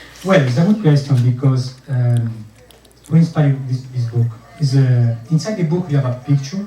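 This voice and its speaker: This man speaks with an Italian accent. Background noise is noticeable behind him. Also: medium pitch for a man, ordinary pitch variation, moderate pace. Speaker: author. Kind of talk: author talk. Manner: halting.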